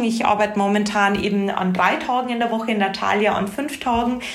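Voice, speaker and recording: A woman talks fairly quickly at a fairly high pitch with fairly even intonation, amid noticeable background noise and audible room echo. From Bavaria, Regensburg. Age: 30s. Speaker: HR manager. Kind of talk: casual interview.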